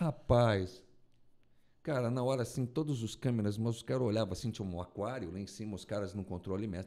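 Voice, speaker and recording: A man speaks in a dark, mellow tone at a medium pitch. The background is quiet. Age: 50s. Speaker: radio announcer and broadcasting teacher; radio announcer, broadcasting teacher. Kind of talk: casual chat. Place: studio. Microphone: studio mic.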